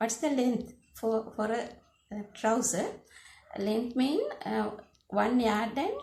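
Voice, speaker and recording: With a Sri Lankan accent, the speaker talks at a very slow pace with ordinary pitch variation and audible room echo. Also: woman. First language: Sinhala. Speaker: sewing teacher. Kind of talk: tutorial. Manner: halting, many fillers.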